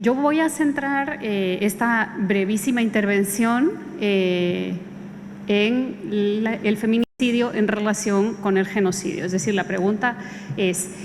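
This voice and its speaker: A woman speaks at a very slow pace in a medium pitch with ordinary pitch variation and very even loudness, amid audible room echo and noticeable background noise. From Guatemala. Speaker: jurist and expert witness. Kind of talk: conference talk. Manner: formal, with frequent hesitations.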